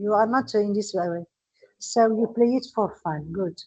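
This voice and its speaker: In a Moroccan accent, a woman speaks with a fairly high pitch and ordinary pitch variation. Her tone is dark and mellow. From Morocco. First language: Moroccan Arabic. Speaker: English teacher. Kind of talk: lecture. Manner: slow.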